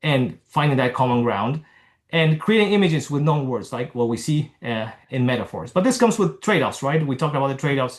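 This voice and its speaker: A man's fairly high voice, somewhat breathy, with ordinary pitch variation and a very fast pace. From Argentina. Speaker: neurologist. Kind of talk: lecture. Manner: halting.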